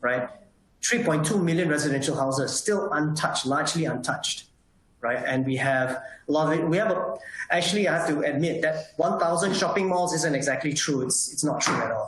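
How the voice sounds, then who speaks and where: A man speaks at a fairly quick pace with fairly high pitch, ordinary pitch variation and very even loudness. Noticeable background noise and audible room echo fill the recording. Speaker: solar industry association representative. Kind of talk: webinar presentation. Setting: online webinar. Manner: fast.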